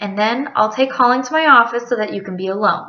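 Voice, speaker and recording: Using a put-on character voice, a woman speaks very fast at a fairly high pitch, raspy and with big swings in loudness. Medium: read story.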